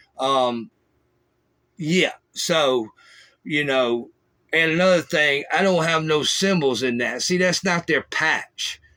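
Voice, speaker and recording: A man's bright, sharp, fairly high voice with a Southern US accent, very slow with long, frequent pauses and ordinary pitch variation. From US South. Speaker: former prisoner, podcast host. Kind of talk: casual monologue. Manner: casual, halting with fillers.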